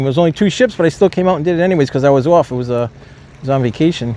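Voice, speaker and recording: The speech comes at a very fast pace with lively intonation, over noticeable background noise. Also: man. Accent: American. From Rhode Island, US. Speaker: live streamer. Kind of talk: live stream chat commentary. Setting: outdoors at port. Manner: loud; casual, chatty.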